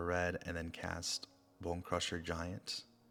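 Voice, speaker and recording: Music plays behind a man speaking at a very slow pace. His pitch is very deep and low. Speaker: ASMR creator, game narrator. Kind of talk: card game play-by-play narration.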